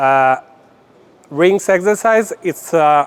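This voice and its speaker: At a very slow pace, a man with a non-native accent speaks in a high pitch. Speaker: gymnastics coach. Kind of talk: lecture. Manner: halting, many fillers.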